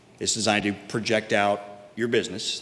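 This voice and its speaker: Here a man is speaking. Noticeable background noise runs under his voice. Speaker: business representative before city council. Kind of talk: public hearing presentation. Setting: city council meeting. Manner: fast.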